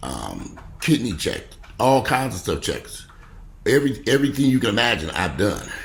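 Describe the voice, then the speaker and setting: A man talks at a moderate pace. The recording has audible room echo. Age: 50s. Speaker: vlogger. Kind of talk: casual vlog monologue. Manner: animated.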